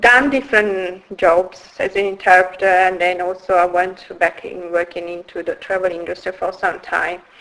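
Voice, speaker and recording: With hardly any pauses, a woman talks at a moderate pace and medium pitch with fairly even intonation, over noticeable background noise. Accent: Italian. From northern Italy, Turin. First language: Italian. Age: 50s. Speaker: founder of a women's wellbeing business. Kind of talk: interview. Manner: hesitant, many fillers.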